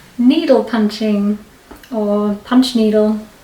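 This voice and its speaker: A very slow-paced woman's voice with ordinary pitch variation, over noticeable background noise. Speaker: craft vlogger. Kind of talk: casual vlog talk. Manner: chatty, rambling with fillers.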